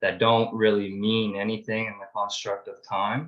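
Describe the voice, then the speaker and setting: Here is an ordinary speaking voice. A man talks at a moderate pace with a fairly low pitch. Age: 20s. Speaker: participant sharing story, business owner. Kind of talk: group video call discussion.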